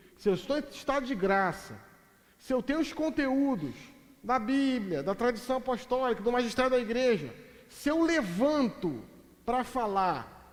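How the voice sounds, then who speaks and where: A man with an extremely high pitch speaks at a fairly slow pace with lively intonation, and audible room echo surrounds his voice. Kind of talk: lecture. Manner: animated.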